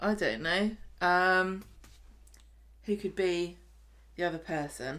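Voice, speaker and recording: A woman's fairly low voice with a bright, sharp tone and a southern English accent, very slow with long, frequent pauses and ordinary pitch variation. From southern England. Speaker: podcast host. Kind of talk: casual chat.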